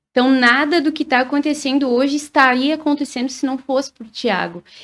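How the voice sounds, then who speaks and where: A woman with a southern Brazilian accent speaks at a high pitch. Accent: gaúcho. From Rio Grande do Sul, Brazil. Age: 30s. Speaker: singer. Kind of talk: interview.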